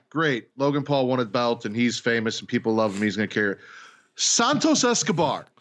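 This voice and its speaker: A man talks in a normal speaking voice at a medium pitch, with lively intonation. The background is quiet. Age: 30s. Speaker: podcast host, wrestling fan. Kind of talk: casual chat.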